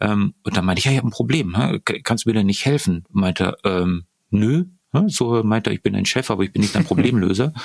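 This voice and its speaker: A man talks at a fairly quick pace with lively intonation and a fairly low pitch. The sound is dry and close, with no echo. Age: 50s. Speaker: neurobiologist and leadership trainer. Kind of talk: interview. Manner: halting, many fillers.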